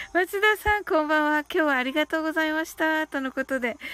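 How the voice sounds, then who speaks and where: A woman's high-pitched voice with ordinary pitch variation, dry and close with no echo, over music in the background. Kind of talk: guided meditation, calm bilingual Japanese-English countdown script read aloud; casual livestream chat with listeners. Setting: live stream reading viewer comments. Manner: slow, soothing, evenly paced.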